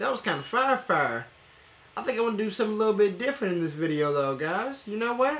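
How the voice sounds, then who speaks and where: A man's raised, projected voice with very wide pitch swings. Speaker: reaction video host. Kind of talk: casual reaction commentary. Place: home room.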